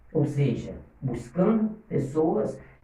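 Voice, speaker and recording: The pitch swings very widely, and there is audible echo from the room. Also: man. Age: 60s. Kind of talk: motivational livestream talk. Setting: livestream.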